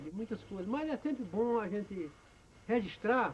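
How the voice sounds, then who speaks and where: A man talks with lively intonation. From Brazil, Ceará (Cariri region). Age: 70s. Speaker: elderly storyteller recounting memoirs. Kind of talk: personal memoir monologue. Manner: halting, many fillers.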